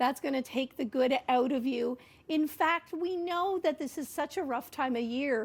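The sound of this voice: A woman with a high voice speaks at a moderate pace, using ordinary pitch variation.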